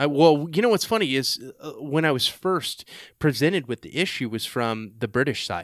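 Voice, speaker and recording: A man with a Texan accent, fairly high in pitch with very wide pitch swings, at a moderate pace on a very clean recording with a silent background. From Texas. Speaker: podcast host and army veteran. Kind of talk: casual interview conversation. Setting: in-person sit-down.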